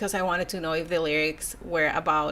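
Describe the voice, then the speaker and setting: The woman's voice carries a bright, sharp tone. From Mexico, border town. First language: Spanish. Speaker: YouTuber. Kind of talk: casual live stream, reading comments. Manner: casual, hesitant with repetitions.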